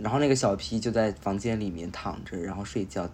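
An unremarkable speaking voice at a moderate pace. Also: man. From Beijing. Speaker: guest, host's friend. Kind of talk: casual chat.

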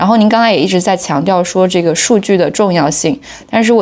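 Here is a woman with an unremarkable speaking voice, medium in pitch with ordinary pitch variation. Her pace is fairly quick. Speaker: podcast co-host. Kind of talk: interview.

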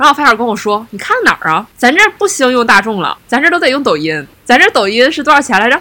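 Her pitch high and swinging very widely, a woman talks at a very fast pace with hardly any pauses and a bright, sharp tone. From Heilongjiang, Northeast China. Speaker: podcast co-host. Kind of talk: casual chat.

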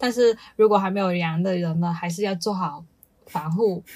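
A woman's somewhat breathy, fairly low voice at a moderate pace with ordinary pitch variation. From Guangdong, China. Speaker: podcast co-host. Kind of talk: casual chat.

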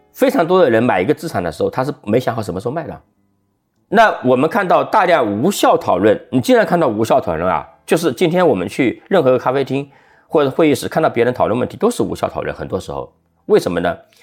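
Over music in the background, a man with a fairly high pitch races along at a very fast pace, his voice making very wide pitch swings. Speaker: venture capital investor and former journalist. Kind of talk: casual interview.

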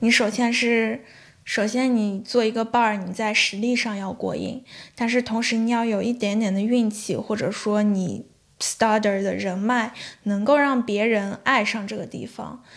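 A woman speaks in a fairly high voice at a fairly slow pace. Her intonation is a flat monotone. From Shanxi, China. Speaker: bartender and fan-fiction writer. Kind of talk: casual interview chat.

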